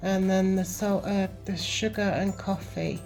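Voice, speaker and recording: Music plays in the background as a woman speaks with a British accent. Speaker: van camper. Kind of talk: home video voiceover. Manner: slow, hesitant.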